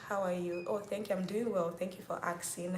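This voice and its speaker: With a Nigerian accent, the speaker keeps a fairly even intonation amid audible room echo. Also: woman. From Nigeria, Rivers State. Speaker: YouTuber hosting a live Q&A. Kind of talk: casual livestream chat with viewers. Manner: chatty, repetitive.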